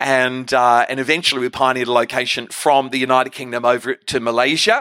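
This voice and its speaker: A man speaks at a moderate pace in a bright, sharp tone. His delivery is animated. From Australia. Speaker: guest preacher. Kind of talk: sermon, preacher in full flow. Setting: church stage with audience. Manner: rambling, humorous.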